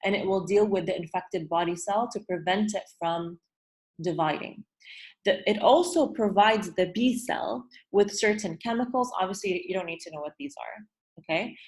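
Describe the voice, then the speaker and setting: A woman with a somewhat breathy, medium-pitched voice talks at a moderate pace, her loudness swinging widely while her pitch varies in an ordinary way over a quiet background. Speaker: teacher. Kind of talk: online review lesson. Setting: video call.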